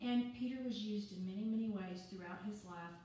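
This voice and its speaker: Over light background noise and strong room echo, a woman talks with fairly even intonation. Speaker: preacher. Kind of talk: sermon. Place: church. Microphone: camera far.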